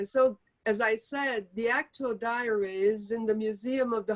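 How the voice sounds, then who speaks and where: A woman talks at a fairly slow pace with a Portuguese accent. Her pitch is fairly high. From Brazil. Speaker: author. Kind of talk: interview Q&A. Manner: halting.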